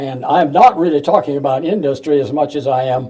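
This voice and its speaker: With a Midwestern US accent, a man speaks fairly slowly in a fairly high pitch and a dark, mellow tone. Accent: US Midwest. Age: 90s. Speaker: retired professor, local historian. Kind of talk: public talk. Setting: museum talk with audience. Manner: halting.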